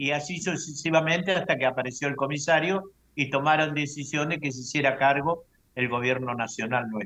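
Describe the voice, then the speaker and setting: In a Rioplatense accent, a man with a fairly high pitch and a bright, sharp tone speaks at a moderate pace with ordinary pitch variation. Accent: Argentine Rioplatense Spanish. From Argentina. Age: 70s. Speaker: UFO abductee, lecturer. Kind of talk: testimony.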